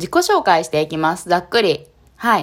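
The woman has an animated tone and a fairly low pitch. She talks at a moderate pace. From Japan, Kanagawa. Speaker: street dancer and yoga practitioner. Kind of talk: casual solo podcast talk. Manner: animated, frequent laughter; hesitant with fillers.

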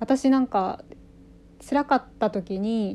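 Her fairly high pitch carries a dark, mellow tone with ordinary pitch variation. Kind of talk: solo monologue. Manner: fast; halting.

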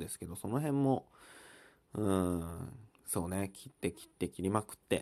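With a dark, mellow tone, a man moves through very wide pitch swings at a moderate pace. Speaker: podcast host. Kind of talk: casual solo talk. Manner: halting, many fillers.

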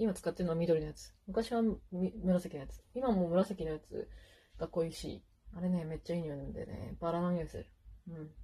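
Speaking at a fairly quick pace, a woman with a dark, mellow tone and a fairly low pitch sounds somewhat breathy, her loudness swinging widely. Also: ordinary pitch variation. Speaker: podcaster. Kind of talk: casual monologue while doing makeup. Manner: casual, chatty with laughter.

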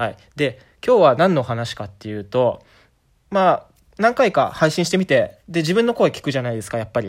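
In a very clean recording with a silent background, a man talks at a fairly quick pace. His fairly high voice makes very wide pitch swings. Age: 30s. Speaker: podcaster. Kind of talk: casual solo monologue. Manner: improvised, with frequent fillers.

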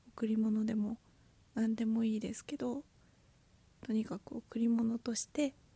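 Soft-spoken, somewhat breathy and dark, mellow speech, fairly slow and monotone, with long, frequent pauses and a dry, close sound free of echo. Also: woman, fairly high pitch for a woman. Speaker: podcaster and aspiring potter. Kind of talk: casual solo talk.

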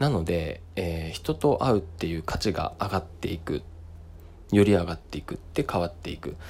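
A man's very deep, low voice, somewhat breathy, at a moderate pace with ordinary pitch variation, on a very clean recording with a silent background. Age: 30s. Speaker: choreographer and dance workshop instructor. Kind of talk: solo monologue podcast. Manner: halting, many filler words.

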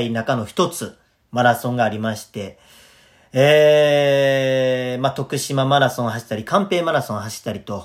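In a Kansai accent, a man speaks at medium pitch. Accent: Kansai (Osaka) dialect. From Osaka, Japan. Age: 30s. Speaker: comedian and radio host. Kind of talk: casual solo talk, self-introduction. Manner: animated, nervous, chatty.

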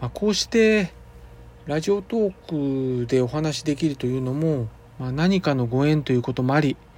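A man with a fairly high pitch speaks at a moderate pace, his intonation lively. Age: 50s. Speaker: acupuncturist and podcast host. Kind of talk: monologue. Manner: formal; halting with fillers.

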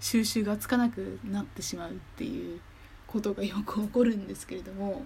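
A woman speaks at a moderate pace with a medium pitch. Her voice is somewhat breathy, with a dark, mellow tone. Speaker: podcaster. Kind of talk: casual monologue. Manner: animated.

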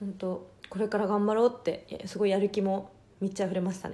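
Speaking at medium pitch, a woman has a dark, mellow tone and a monotone, flat intonation. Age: 20s. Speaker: podcast host and adult film actress. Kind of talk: casual solo talk. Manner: frequent laughter.

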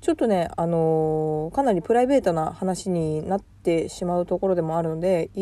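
On a very clean recording with a silent background, a woman with a medium pitch speaks at a moderate pace in a relaxed, dark, mellow tone with lively intonation. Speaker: podcast host, working mother. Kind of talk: casual personal monologue. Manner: relaxed, chatty with frequent fillers.

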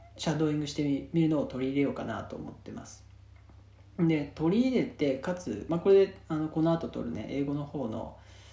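In a relaxed tone, a man with a fairly high pitch and a dark, mellow, somewhat breathy sound speaks at a moderate pace amid audible room echo. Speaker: podcast host. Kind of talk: casual monologue. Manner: relaxed, many fillers.

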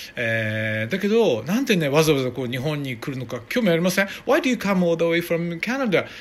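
An animated man talks at a fairly quick pace with hardly any pauses and a high pitch. His pitch swings very widely over noticeable background noise. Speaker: podcast host. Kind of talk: casual chat. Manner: halting.

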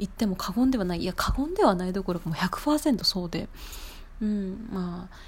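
A woman's somewhat breathy, medium-pitched voice with lively intonation, at a moderate pace. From Japan. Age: 20s. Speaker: podcaster. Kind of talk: casual solo podcast talk.

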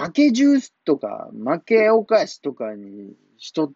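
This man speaks with a Kumamoto accent. His pitch swings very widely. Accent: Kumamoto dialect (Kyushu). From Japan, Kumamoto. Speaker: comedian. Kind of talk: casual solo talk.

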